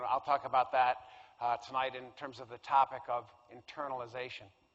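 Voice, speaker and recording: A man talking at a fairly quick pace. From US Northeast, Connecticut. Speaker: professor and clinical psychologist. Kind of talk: public lecture.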